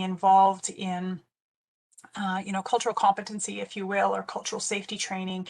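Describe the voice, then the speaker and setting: Very fast speech from a woman with a medium pitch. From northwestern Ontario, Canada. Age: 40s. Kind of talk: webinar presentation. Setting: online webinar. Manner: conversational, frequent fillers.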